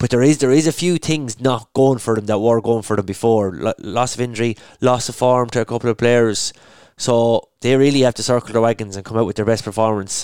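With an Irish accent, a man speaks at a fairly quick pace and a medium pitch with ordinary pitch variation, in a dry, close recording with no echo that is very clean over a silent background. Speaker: podcast host. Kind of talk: casual sports chat.

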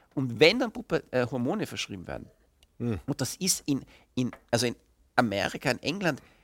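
A man talks at a moderate pace, his voice showing vocal fry and very wide pitch swings. The recording is very clean and dry, close with no echo, over a silent background. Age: 40s. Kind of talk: interview.

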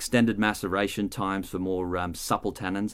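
On a very clean recording with a silent background, a man with an Australian accent speaks fairly quickly at a fairly low pitch. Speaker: wine expert. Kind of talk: educational explainer. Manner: hesitant, repeats words.

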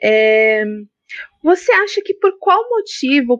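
A woman talks at a very slow pace in a dry, close sound with no echo. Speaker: podcast moderator, journalist. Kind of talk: interview.

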